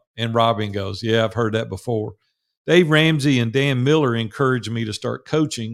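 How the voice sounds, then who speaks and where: A man speaks at a fairly quick pace in a Southern US accent, his pitch medium. The recording is very clean, with a silent background. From US South, Nashville, Tennessee. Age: 60s. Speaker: business mentor and coach. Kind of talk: interview.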